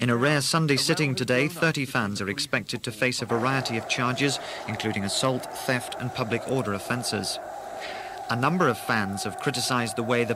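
Fairly quick male speech with ordinary pitch variation, a dry sound with no echo, and loud background noise. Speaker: radio newsreader. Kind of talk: news bulletin reading.

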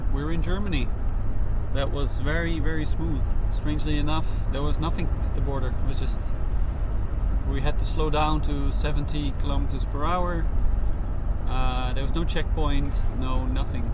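A man at a moderate pace with long, frequent pauses, the sound dry with no echo despite loud background noise. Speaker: passenger vlogger. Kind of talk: casual vlog chat. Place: car. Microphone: phone near.

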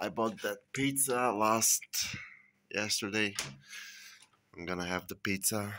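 Fairly low male pitch with a bright, sharp tone, a fairly slow pace, long, frequent pauses, and light background noise. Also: ordinary pitch variation. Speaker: vlogger. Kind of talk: casual vlog monologue. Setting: at home. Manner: groggy, sighing. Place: kitchen. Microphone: phone near.

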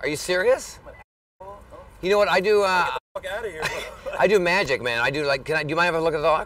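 A man speaks at a very fast pace in a high pitch. The sound is dry with no echo, over light background noise. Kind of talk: casual street banter. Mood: playful, friendly, laughing. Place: street.

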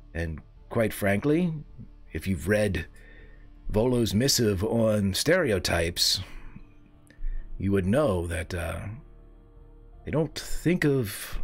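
A man uses a put-on character voice at a fairly low pitch, speaking very slowly. Long, frequent pauses break up his words while clear music plays in the background. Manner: polite, refined, slightly defensive.

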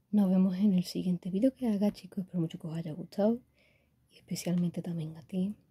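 This woman has a medium pitch and a dark, mellow tone that is somewhat breathy. She speaks at a fairly quick pace. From Spain. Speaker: gaming YouTuber. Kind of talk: unboxing video. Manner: animated. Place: home room. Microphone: phone near.

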